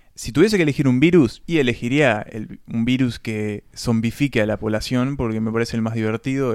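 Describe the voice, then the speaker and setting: Here a man speaks with a Uruguayan accent at medium pitch and a fairly quick pace. His intonation is fairly even, and the recording is very clean with a silent background. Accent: Uruguayan Spanish (Rioplatense). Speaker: film podcast co-host. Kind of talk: casual chat.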